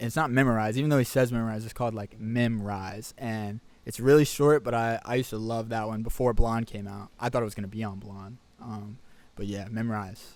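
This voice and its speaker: A man with a normal speaking voice talks at a fairly quick pace at a medium pitch, his intonation fairly even but his loudness swinging widely. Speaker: musician. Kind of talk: casual interview.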